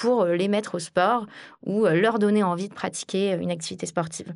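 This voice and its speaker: At a fairly slow pace, a woman talks at medium pitch with ordinary pitch variation against a quiet background, in an ordinary speaking voice. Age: 30s. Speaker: sales director. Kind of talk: interview.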